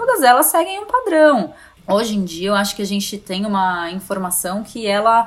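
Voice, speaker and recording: In a normal speaking voice, a woman with medium pitch talks at a moderate pace with lively intonation. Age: 30s. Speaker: journalist and communication consultant. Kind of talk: casual interview. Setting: remote recording.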